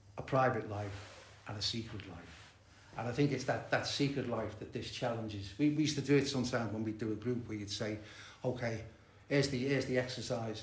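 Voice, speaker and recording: A man's medium-pitched voice at a fairly quick pace, fairly even in intonation, with audible room echo. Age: 70s. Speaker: recovering addict and therapist. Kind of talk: recovery meeting share. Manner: halting, many fillers and repetitions.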